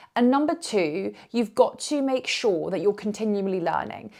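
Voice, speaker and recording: In a very clean recording with a silent background, a woman with a British accent speaks with lively intonation. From UK, Indian heritage. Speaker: yoga teacher. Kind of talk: vlog to camera.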